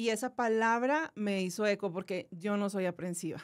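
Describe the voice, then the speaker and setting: This woman's voice is fairly high in pitch, set against a quiet background. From Monterrey, northern Mexico; Mexico. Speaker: cancer survivor, content creator and voice-over artist; podcast guest. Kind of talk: testimony. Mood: reflective, earnest. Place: studio. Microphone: studio mic.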